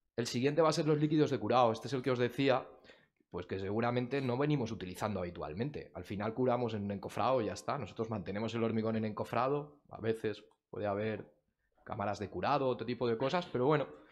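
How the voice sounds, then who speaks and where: Very fast speech from a man at medium pitch, with normal pitch movement. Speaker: technical committee member, industry speaker. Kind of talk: technical presentation. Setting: conference room with audience.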